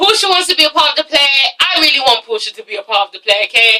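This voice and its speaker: A woman with an English accent uses a raised, projected voice, sounding animated, with lively intonation at a fairly quick pace. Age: 20s. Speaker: youtuber, TV reviewer. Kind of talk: casual vlog review.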